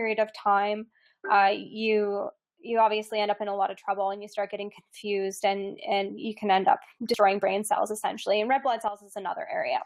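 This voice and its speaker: At a fairly quick pace, a woman speaks with a fairly high pitch over a quiet background. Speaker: health coach and registered nurse. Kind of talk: webinar lecture. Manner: fast.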